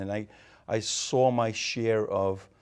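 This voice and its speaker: A man speaks in a Rhode Island accent with monotone, flat intonation, on a very clean recording with a silent background. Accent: New England (Rhode Island). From Rhode Island, Portuguese immigrant family. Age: 50s. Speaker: mayor, retired police captain. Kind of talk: interview.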